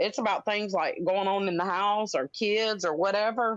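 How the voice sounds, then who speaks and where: Fairly quick speech with a Southern US accent against a quiet background. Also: woman. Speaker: livestream guest. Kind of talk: casual chat. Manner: loud.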